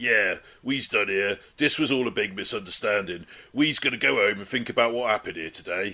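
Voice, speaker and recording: Using a gruff, put-on character voice, a man speaks fairly quickly at a fairly low pitch on a very clean recording with a silent background. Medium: read story. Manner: gruff, barking.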